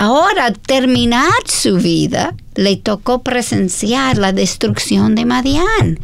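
A woman with an American accent at a very slow pace, very even loudness and hardly any pauses, over noticeable background noise. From United States. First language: English (speaking Spanish). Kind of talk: Bible study discussion.

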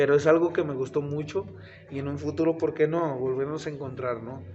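A man with a central Mexican accent talks at a fairly high pitch with fairly even intonation. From Mexico, Tlaxcala. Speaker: professional wrestler. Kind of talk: casual interview. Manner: halting, repeats words.

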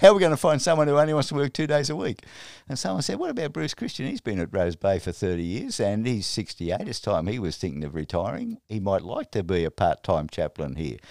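Recorded very cleanly against a silent background, a man with an Australian accent and medium pitch talks at a fairly quick pace, with very wide pitch swings, hardly any pauses, and a dry, close sound with no echo. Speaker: retired Presbyterian minister. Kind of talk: interview. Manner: halting.

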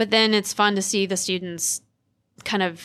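A woman with an American accent, a normal speaking voice, medium pitch and moderate pace, on a very clean recording with a silent background. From coastal North Carolina, US South. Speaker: professor, bee biologist. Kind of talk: interview.

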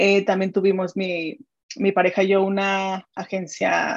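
A woman with a Mexican accent talks at a fairly slow pace and a medium pitch. The sound is dry and close with no echo, over a quiet background. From Mexico. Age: 30s. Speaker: digital strategist and business mentor. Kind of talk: interview conversation.

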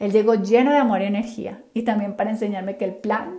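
Noticeable background noise sits behind this recording. A woman with a fairly high pitch talks at a moderate pace. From Colombia, Cali. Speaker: podcast host, professional organizer. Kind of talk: scripted narration.

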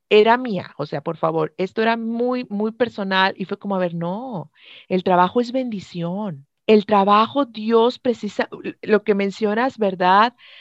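Against a quiet background, a woman talks at a fairly slow pace in a medium-pitched voice with ordinary pitch variation, the sound dry and close with no echo. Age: 40s. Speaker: health coach. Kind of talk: interview. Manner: halting.

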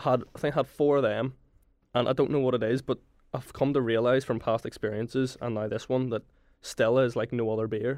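The speaker has a Belfast accent and a monotone, flat intonation. The pace is fairly quick. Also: man, medium pitch for a man. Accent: Belfast Northern Irish. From Northern Ireland, Belfast. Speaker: university student. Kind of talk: casual chat. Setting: studio.

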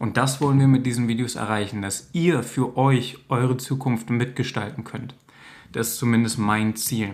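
Here a man speaks at a moderate pace with a medium pitch. His intonation stays fairly even. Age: 30s. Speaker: social worker making videos for teens. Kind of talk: direct-to-camera monologue. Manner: informal, with frequent fillers.

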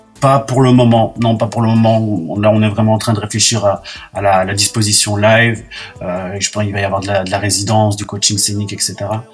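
A man with a fairly low voice speaks fairly quickly in a monotone, flat intonation as noticeable background noise continues. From Belgium. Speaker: singer-songwriter. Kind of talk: radio interview. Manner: hesitant, many fillers.

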